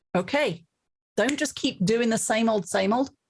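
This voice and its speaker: The voice is somewhat breathy, with ordinary pitch variation. Its pace is moderate. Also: woman. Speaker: leadership author and keynote speaker. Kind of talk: interview conversation. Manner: talkative, long answers.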